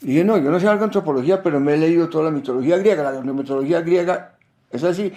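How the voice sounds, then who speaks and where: Pitched high, a man's voice carries a dark, mellow tone. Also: very clean recording, silent background. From Colombia. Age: 80s+. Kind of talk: interview. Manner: reflective, conversational.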